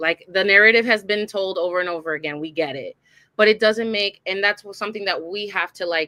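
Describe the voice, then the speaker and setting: An animated woman's voice at medium pitch, fairly quick, with ordinary pitch variation and big swings in loudness. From US Puerto Rican diaspora. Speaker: podcast co-host. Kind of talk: casual chat.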